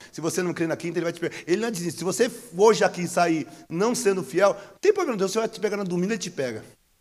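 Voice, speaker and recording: A man with a Brazilian accent, high pitch, very fast pace, animated tone, and big swings in loudness. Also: ordinary pitch variation. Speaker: pastor. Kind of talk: sermon, preaching live to a church congregation. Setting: church service with congregation, streamed online. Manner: animated, exclamatory, joking and laughing mid-sermon.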